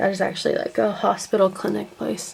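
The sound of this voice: A woman at a medium pitch and moderate pace, with a dark, mellow tone, vocal fry and a slightly husky edge.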